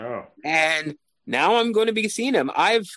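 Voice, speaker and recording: This man speaks with a Canadian accent. His intonation is lively. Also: dry, close sound with no echo. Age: 40s. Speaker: arts journalist. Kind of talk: interview. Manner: halting.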